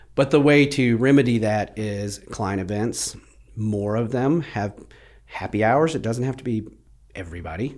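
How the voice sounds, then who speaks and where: An unremarkable speaking voice moves at a moderate pace with ordinary pitch variation. The recording is very clean, with a silent background. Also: man, medium pitch for a man. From Plano, Texas. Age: 40s. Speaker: real estate team leader. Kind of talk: casual interview chat.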